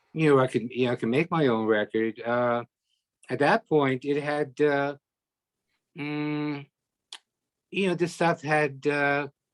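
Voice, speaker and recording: A man with a fairly high voice speaks at a fairly slow pace, with long, frequent pauses, ordinary pitch variation, and a dry, close sound with no echo. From Toronto, Canada. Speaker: musician. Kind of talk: interview. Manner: halting, many fillers.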